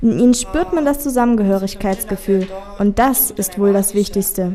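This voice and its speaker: Over noticeable background noise, a woman speaks at a moderate pace, her fairly high voice showing ordinary pitch variation. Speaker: young club member. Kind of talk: interview statement.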